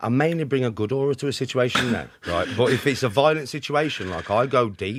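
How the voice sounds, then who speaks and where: At a very fast pace, a man with a Birmingham accent talks at a medium pitch with ordinary pitch variation. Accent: Birmingham (Brummie) English. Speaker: podcast guest. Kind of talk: casual chat. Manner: animated.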